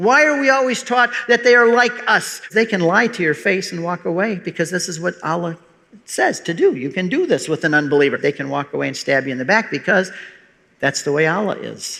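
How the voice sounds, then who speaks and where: A man with an American accent talks at a fairly quick pace in a raised, projected voice with a bright, sharp tone. His pitch is high and swings very widely. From US Midwest, outside Detroit, Michigan. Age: 60s. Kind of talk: public talk.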